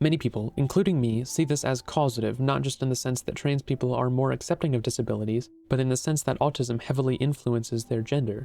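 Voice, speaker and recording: A man at a very fast pace with hardly any pauses, music in the background. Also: medium pitch for a man, fairly even intonation. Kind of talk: video essay narration.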